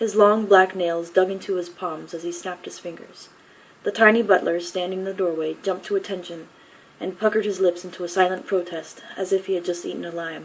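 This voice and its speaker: At a fairly quick pace, a woman with a medium pitch speaks in a monotone, flat intonation, her loudness swinging widely over noticeable background noise. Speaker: author. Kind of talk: fiction reading.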